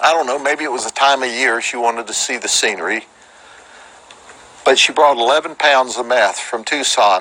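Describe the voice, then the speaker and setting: Through noticeable background noise, a man with a Central Florida accent talks at a moderate pace and medium pitch with ordinary pitch variation. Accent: Polk County Florida southern. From Florida, Polk County. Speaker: sheriff. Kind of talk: press conference. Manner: animated.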